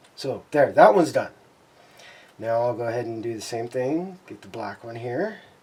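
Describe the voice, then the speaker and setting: Noticeable background noise is present throughout. Over it, a man talks at a moderate pace. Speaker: scale model builder. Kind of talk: tutorial. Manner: halting.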